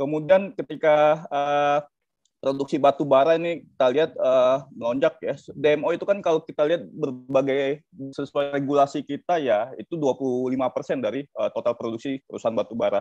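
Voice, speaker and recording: Against a quiet background, the sound is dry with no echo. A man speaks at a moderate pace with fairly even intonation. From South Sumatra, Indonesia. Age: 30s. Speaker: energy law expert, lecturer; lecturer. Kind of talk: webinar panel presentation. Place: home room. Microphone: video call.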